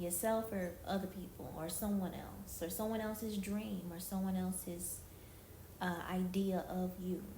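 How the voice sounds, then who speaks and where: Amid noticeable background noise and audible room echo, a woman speaks at a fairly slow pace in monotone, flat intonation. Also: medium pitch for a woman. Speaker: street-style interviewer on a video chat app. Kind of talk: casual interview.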